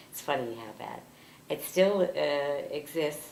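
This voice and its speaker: The pace is very slow, with ordinary pitch variation. Noticeable background noise is present. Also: woman. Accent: New York. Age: 80s. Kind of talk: interview answer.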